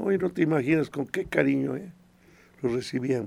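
This man has a dark, mellow tone, a fairly high pitch and lively intonation. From Mexico, Puebla (Acatlán). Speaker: choir director. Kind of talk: radio interview. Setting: radio studio.

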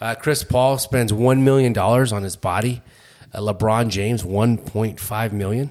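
A man's normal speaking voice, medium in pitch, fairly even in intonation, at a moderate pace. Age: 40s. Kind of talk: casual chat; prayer.

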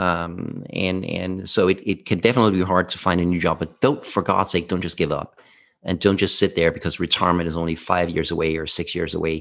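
A man with a Danish accent and a very deep, low pitch, fairly quick and fairly even in intonation, against a quiet background. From southern Denmark. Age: 50s. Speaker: former workplace happiness speaker. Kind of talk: casual interview.

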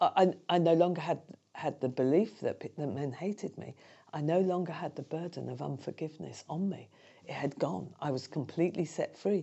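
With a British accent and vocal fry, a woman with a fairly low voice speaks at a moderate pace, her pitch varying in an ordinary way and her loudness swinging widely. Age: 60s. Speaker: charity founder and speaker. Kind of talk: interview testimony.

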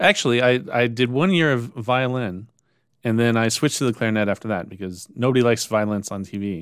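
A normal speaking voice from a man, medium in pitch and fairly quick, with ordinary pitch variation, on a very clean recording with a silent background. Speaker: podcast host. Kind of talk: educational podcast chat.

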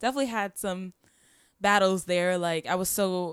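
Using a plain, everyday voice, a woman with an American accent speaks at a moderate pace with ordinary pitch variation, in a dry, close sound with no echo and a very clean recording with a silent background. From Florida (Poinciana). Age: 20s. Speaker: singer. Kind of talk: casual chat. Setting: studio.

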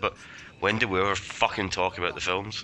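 A fairly low-pitched man in a Glaswegian accent, fairly quick, with ordinary pitch variation. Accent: Glaswegian Scottish. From Scotland, Glasgow. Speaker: movie commentary podcast guest. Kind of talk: casual group movie commentary. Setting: Skype call.

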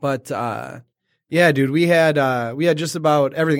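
A man with a plain, everyday voice and an American accent talks at a fairly quick pace in a fairly high pitch. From Detroit, Michigan. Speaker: guest podcaster. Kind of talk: casual interview chat.

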